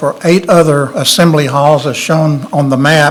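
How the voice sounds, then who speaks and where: Over noticeable background noise, a man with a fairly high pitch talks at a moderate pace in a monotone, flat intonation. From Tennessee. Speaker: architect. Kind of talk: public meeting presentation.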